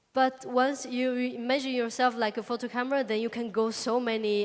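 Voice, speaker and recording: Against noticeable background noise, a woman speaks fairly slowly in a fairly high pitch. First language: Chinese (speaking Spanish). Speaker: comic artist. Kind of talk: public talk Q&A. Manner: halting.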